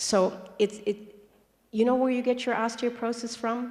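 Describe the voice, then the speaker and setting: A woman's fairly quick speech against noticeable background noise. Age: 60s. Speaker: raw food health speaker. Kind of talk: conference talk. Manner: animated.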